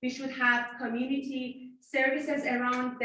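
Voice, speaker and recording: A woman's high, raised and projected voice at a fairly slow pace, with audible room echo. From Iran. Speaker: city council candidate. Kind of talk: candidate debate answer.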